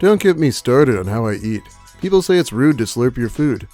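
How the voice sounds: Music plays behind a man speaking at a very fast pace, his medium-pitched voice making very wide pitch swings.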